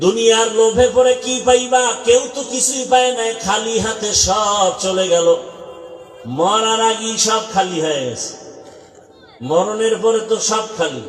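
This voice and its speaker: With music playing in the background, a man speaks at a high pitch. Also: ordinary pitch variation. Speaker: Islamic preacher (waz speaker). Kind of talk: passionate Islamic sermon to youth. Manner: emphatic, admonishing, emotional.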